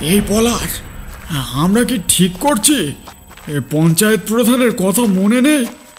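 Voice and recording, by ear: A man puts on a cartoonish character voice at a high pitch, speaking fairly slowly with lively intonation over clear background noise.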